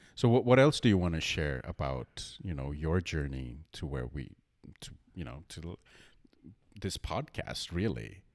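Very wide pitch swings and big swings in loudness come at a moderate pace, with vocal fry. The recording is very clean, with a silent background. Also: man, very deep, low pitch for a man. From India. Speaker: podcast co-host. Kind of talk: casual chat.

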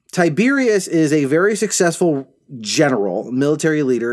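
The speaker talks at a moderate pace. The pitch swings very widely up and down. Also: man. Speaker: podcast co-host. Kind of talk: casual chat. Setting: recording in a closet at home.

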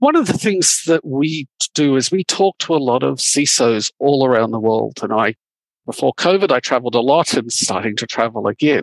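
Recorded dry and close with no echo, a man speaks in an unremarkable speaking voice at medium pitch and a moderate pace, with lively intonation. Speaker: security industry interviewee. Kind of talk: interview.

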